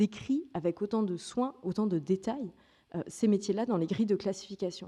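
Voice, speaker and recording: Her voice has a dark, mellow tone at a medium pitch. This woman speaks at a moderate pace with ordinary pitch variation. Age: 30s. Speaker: journalist and author giving a talk. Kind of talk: conference keynote speech. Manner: hesitant, with fillers and restarts.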